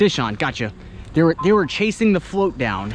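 The sound is dry with no echo and light background noise. A man speaks at a moderate pace. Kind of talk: casual vlog commentary. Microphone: phone near.

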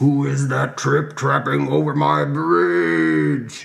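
Someone uses a put-on character voice, loud throughout. The pace is very slow. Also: man, very deep, low pitch for a man. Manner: loud, roaring.

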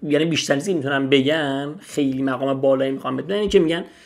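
The speaker shows ordinary pitch variation against a quiet background. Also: man. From Iran. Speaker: language teacher. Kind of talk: tutorial. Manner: casual. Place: home room. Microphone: studio mic.

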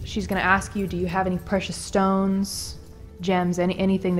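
This is plain reading aloud. The text is read plainly.

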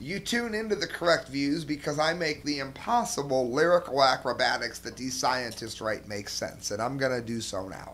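A man with an American accent speaks at a moderate pace in a fairly high pitch, his voice swinging very widely in pitch with hardly any pauses. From US Midwest, Cleveland area. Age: 40s. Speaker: political commentator. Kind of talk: video commentary. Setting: home studio with camera. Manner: animated. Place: home room. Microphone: headset.

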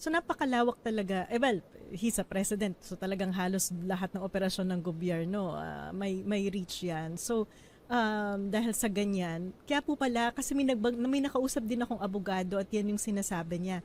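A woman's plain, everyday voice with ordinary pitch variation, on a very clean recording with a silent background. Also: medium pitch for a woman, moderate pace. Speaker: economist and interviewer. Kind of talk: interview. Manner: polite, formal (uses po).

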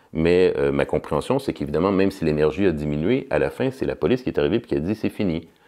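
A man's very deep, low voice, dark and mellow in tone, racing at a very fast pace with lively intonation. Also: quiet background. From Quebec, Montreal. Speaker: political science professor. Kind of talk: interview. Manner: halting, with many repetitions and fillers. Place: studio.

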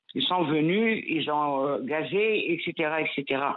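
A woman speaks with ordinary pitch variation. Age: 60s. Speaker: radio caller, retiree. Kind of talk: testimony. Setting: phone call. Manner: emotional, repetitive.

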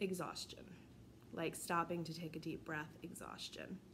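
Over noticeable background noise, a woman speaks with a fairly low pitch, vocal fry and monotone, flat intonation. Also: moderate pace. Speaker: vlogger. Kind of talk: casual vlog chat. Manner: weary, flu-worn voice. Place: home room. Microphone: phone near.

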